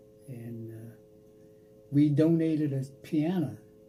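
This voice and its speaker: A man with an American accent, fairly even intonation, and music in the background. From Washington, D.C. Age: 90s. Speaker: World War II veteran, Tuskegee Airman. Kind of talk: interview answer.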